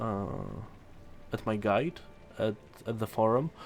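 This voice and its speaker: Ordinary pitch variation marks a man's speech in a non-native accent. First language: not English. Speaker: gaming content creator. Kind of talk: tutorial. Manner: halting, stumbling over words.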